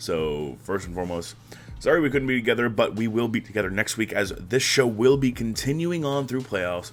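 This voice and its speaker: Over music in the background, the speaker moves at a fairly quick pace with lively intonation. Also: man, medium pitch for a man. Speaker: esports league recap host. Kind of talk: solo recap commentary. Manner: casual, filler-heavy.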